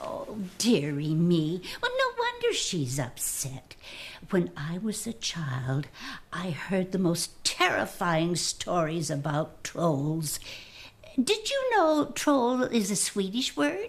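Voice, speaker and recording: A female-sounding voice at medium pitch puts on a character voice and speaks at a very slow pace. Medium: short film. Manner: warm, folksy, old-fashioned endearments.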